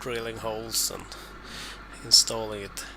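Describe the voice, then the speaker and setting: The speaker talks with a non-native accent. Noticeable background noise is present. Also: man. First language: not English. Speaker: DIY car repair vlogger. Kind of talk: voiceover narration of repair video. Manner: hesitant, many fillers and repeats.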